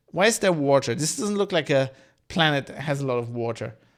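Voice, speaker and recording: In a very clean recording with a silent background, a man with a non-native accent speaks at a fairly quick pace. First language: not English. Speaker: podcast host, TV reviewer. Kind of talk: casual solo commentary while watching. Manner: hesitant, many fillers.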